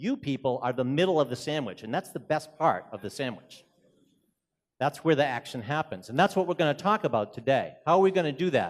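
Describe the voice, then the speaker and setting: An animated man with a strong Boston accent, fairly high in pitch, talking at a fairly quick pace with lively intonation. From Boston, US. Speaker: keynote speaker, executive director of a consultancy. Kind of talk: conference presentation. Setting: conference stage with audience.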